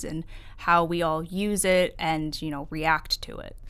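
A woman's fairly low, fairly slow voice with an American accent. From US Northeast. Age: 20s. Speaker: corporate associate. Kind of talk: podcast interview. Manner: hesitant, many fillers.

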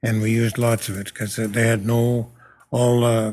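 A man talks with monotone, flat intonation on a very clean recording with a silent background. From Yorkton, Saskatchewan. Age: 80s. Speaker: retired farmer and oil business owner.

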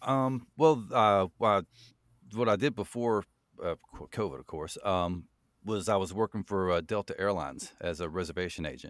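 An unremarkable speaking voice, a man with a fairly low pitch talks at a moderate pace with lively intonation and big swings in loudness, the sound dry and close with no echo on a very clean recording over a silent background. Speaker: horror story narrator. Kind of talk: casual interview.

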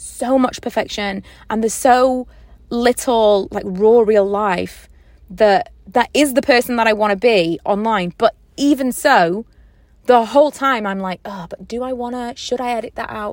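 A woman talks at a moderate pace in a plain, everyday voice with a fairly high pitch. Her loudness swings widely. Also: ordinary pitch variation. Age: 30s. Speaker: podcaster and YouTuber. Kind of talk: casual solo podcast monologue. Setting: in a parked car. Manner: chatty, informal.

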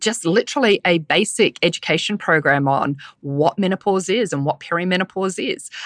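In a New Zealand accent, a woman speaks at a moderate pace with lively intonation, the sound dry and close with no echo. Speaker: menopause speaker, podcaster and personal trainer. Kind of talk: casual interview chat.

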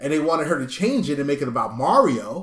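Intonation lively, a man talks at a fairly high pitch. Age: 30s. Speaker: podcast host. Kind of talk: casual chat. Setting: home living room.

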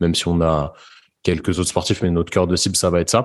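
Over a quiet background, a man talks at a very fast pace. His pitch is very deep and low. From Paris suburbs, France. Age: 20s. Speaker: sports physiotherapist. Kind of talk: casual interview. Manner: hesitant, many fillers and repetitions.

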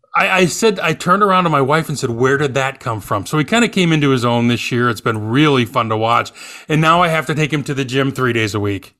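Speaking at a very fast pace with hardly any pauses, a man with an American accent uses a fairly high pitch, a bright, sharp tone and lively intonation on a very clean recording with a silent background. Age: 50s. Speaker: podcast co-host. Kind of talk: casual chat.

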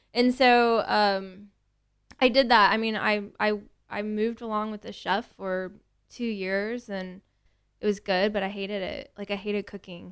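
Over a quiet background, the speech moves at a moderate pace in a flat monotone while the loudness swings a lot. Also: woman, medium pitch for a woman. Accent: American. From Texas, Tomball near Houston. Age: 30s. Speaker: spirits retail buyer. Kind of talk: casual interview chat.

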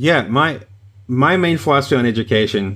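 With an American accent, a man talks at a fairly quick pace and ordinary pitch variation. His is a plain, everyday voice. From US South, rural. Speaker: trombone lecturer. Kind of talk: casual chat.

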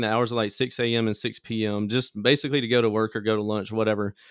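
With an American accent, a man talks at a fairly quick pace in a plain, everyday voice at a medium pitch. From US South, Mississippi Delta (Greenville). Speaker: small business owner, car audio entrepreneur. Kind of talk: interview, casual storytelling.

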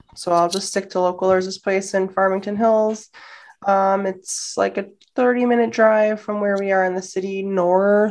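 Over a quiet background, a woman with a Midwestern American accent speaks at medium pitch and a moderate pace in a monotone, flat intonation. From Detroit area, Michigan, US. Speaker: travel podcast co-host. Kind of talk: casual interview chat. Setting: video call.

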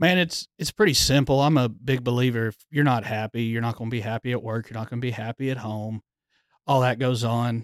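A normal speaking voice talks at a fairly quick pace with fairly even intonation. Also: man, medium pitch for a man. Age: 30s. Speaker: firefighter lieutenant. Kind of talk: casual chat.

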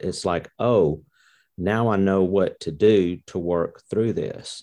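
Against a quiet background, a dark, mellow voice with a Mississippi accent speaks with ordinary pitch variation. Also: man. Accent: Southern US (Mississippi). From US South, Mississippi. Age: 60s. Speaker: course participant. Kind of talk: interview.

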